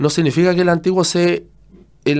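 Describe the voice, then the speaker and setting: A high-pitched male voice in a very clean recording with a silent background. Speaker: Bible teacher. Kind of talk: teaching. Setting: radio studio.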